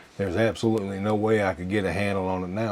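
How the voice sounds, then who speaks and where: This man speaks at a fairly low pitch. His intonation is monotone and flat. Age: 60s. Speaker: lifestyle vlogger for seniors. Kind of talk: casual talk to camera. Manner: halting.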